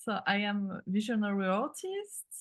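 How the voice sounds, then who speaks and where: Somewhat breathy, fairly slow speech from a woman with a French accent. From France. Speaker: artist and creative mentor. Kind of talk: interview conversation. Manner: halting, many fillers.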